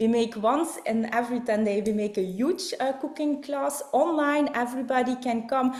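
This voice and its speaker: Over noticeable background noise, a woman speaks in a high voice at a moderate pace. She has a Flemish Belgian accent and ordinary pitch variation. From Belgium. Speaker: network marketing distributor and presenter. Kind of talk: online business presentation. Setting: online video call. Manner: halting, many fillers.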